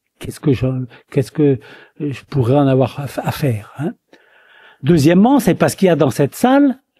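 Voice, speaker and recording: His voice is dark, mellow and somewhat breathy. This man's pitch swings very widely. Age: 70s. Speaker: retired eye surgeon. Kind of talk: lecture. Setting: conference hall with audience. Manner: hesitant, repeating words.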